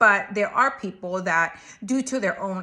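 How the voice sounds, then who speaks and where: A woman speaks at medium pitch and a fairly slow pace. Her tone is bright and sharp, with ordinary pitch variation. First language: not English. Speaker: marriage and family therapist. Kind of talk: advice talk to camera. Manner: conversational, casual.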